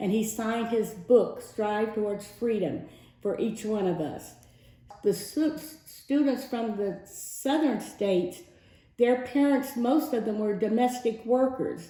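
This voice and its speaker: In a room with audible room echo, a woman with a fairly high pitch and a dark, mellow, somewhat breathy tone speaks at a fairly slow pace with ordinary pitch variation. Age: 70s. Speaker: civil rights veteran. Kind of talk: testimony.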